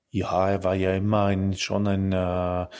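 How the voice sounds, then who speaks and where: In a very clean recording with a silent background, the words unfold very slowly. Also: man. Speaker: politician. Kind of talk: interview. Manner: halting.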